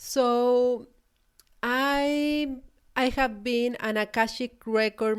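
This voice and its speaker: A woman with a Chilean Spanish accent and ordinary pitch variation, on a very clean recording with a silent background. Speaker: podcast host and spiritual business coach. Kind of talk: solo podcast talk. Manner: hesitant, with fillers and repetitions.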